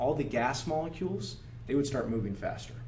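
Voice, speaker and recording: Recorded with audible room echo, a man with an American accent talks at a fairly quick pace and a medium pitch. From Oregon, US Pacific Northwest. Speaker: high school chemistry teacher. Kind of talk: lecture. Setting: classroom. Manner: fast; animated.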